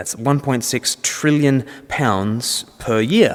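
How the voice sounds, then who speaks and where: A man talks with ordinary pitch variation at a medium pitch, and noticeable background noise can be heard behind him. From Australia. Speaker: Anglican minister and speaker. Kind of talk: public talk. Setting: church event with audience.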